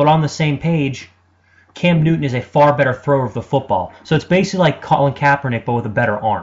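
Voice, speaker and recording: Very fast male speech, fairly high and somewhat breathy. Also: ordinary pitch variation. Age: 20s. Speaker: sports radio host. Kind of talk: sports talk monologue. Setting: web radio studio. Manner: animated.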